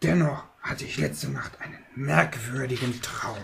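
At a fairly slow pace, a man does a raspy put-on character voice at a medium pitch. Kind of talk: puppet theater acting. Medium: puppet show. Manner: brooding, scheming, spiteful.

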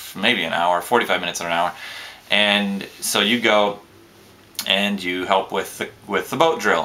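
A man with a fairly low pitch speaks at a fairly slow pace, using ordinary pitch variation. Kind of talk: casual vlog chat. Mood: relaxed, lightly amused. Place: home room. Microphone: webcam.

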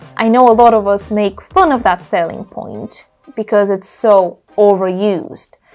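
A woman speaks with faint music in the background. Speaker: travel vlogger. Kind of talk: casual vlog chat. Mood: playful, opinionated. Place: home room. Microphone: lapel.

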